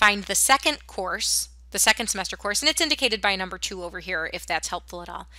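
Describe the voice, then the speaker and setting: On a very clean recording with a silent background, a woman with a medium pitch and a bright, sharp tone talks at a very fast pace with vocal fry. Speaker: school counselor or staff. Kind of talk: tutorial.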